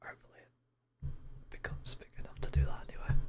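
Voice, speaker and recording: At a moderate pace, a man is whispering. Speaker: VTuber streamer. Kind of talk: casual livestream chat. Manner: whispered.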